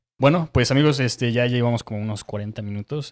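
This man has a plain, everyday voice and talks at a fairly quick pace. The intonation stays fairly even at a medium pitch. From Mexico, Querétaro; Mexico. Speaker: podcast host. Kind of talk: casual interview. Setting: on location in León. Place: shop. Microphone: handheld.

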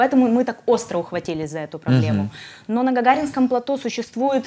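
A woman speaks very fast with lively intonation. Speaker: guest. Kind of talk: interview answer. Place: studio.

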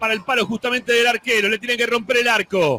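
Speaking at a fairly quick pace, a man with a high-pitched voice projects loudly over noticeable background noise. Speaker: football commentator. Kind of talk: live football commentary. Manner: animated, fast, excited play-by-play, rising on goals.

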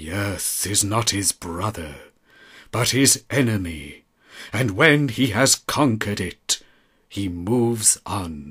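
A man's fairly low voice, very slow and solemn, with lively intonation, on a very clean recording with a silent background. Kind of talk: poetry reading. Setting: outdoors. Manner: solemn, melancholy.

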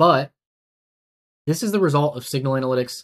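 The pace is moderate as a man speaks. Pitch shifts by ordinary amounts. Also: medium pitch for a man.

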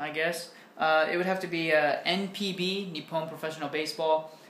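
There is audible room echo as a man with an American accent talks at a high pitch with fairly even intonation. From United States. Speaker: English teacher and YouTuber; English teacher, YouTuber. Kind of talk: casual Q&A vlog. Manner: casual, with many fillers. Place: home room. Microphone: webcam.

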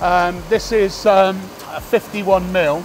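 With music playing behind him, a man speaks in a high voice with fairly even intonation. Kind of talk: factory tour explanation. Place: factory. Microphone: lapel.

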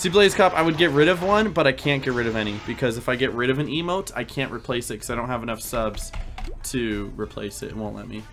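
Very fast speech over music in the background. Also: man, lively intonation. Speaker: game streamer. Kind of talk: casual stream chat.

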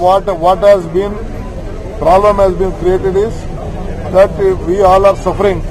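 A man talks in a high pitch. Crowd noise can be heard behind him. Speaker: politician. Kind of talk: press interview answer. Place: street. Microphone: handheld.

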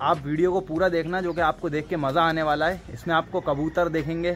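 Over light background noise, a man talks in a flat monotone. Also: moderate pace. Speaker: vlogger. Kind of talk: casual vlog chat. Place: open country. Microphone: phone near.

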